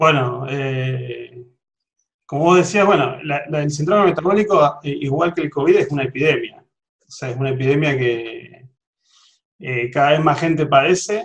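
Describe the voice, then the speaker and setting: A man with an Argentine accent speaks at a fairly high pitch. His somewhat breathy delivery moves at a moderate pace. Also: ordinary pitch variation. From Argentina. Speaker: cardiologist, genetics specialist. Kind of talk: interview.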